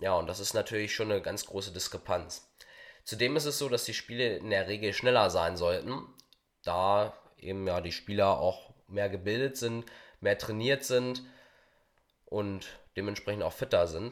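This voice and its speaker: A man speaks at a moderate pace with long, frequent pauses. His pitch is fairly low, with ordinary variation. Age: young. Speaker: amateur football referee. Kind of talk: interview.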